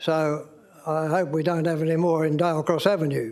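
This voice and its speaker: Against audible room echo, a man with a fairly high pitch speaks at a moderate pace with ordinary pitch variation. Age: 90s. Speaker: member of the public addressing council. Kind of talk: public statement at council meeting. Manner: halting.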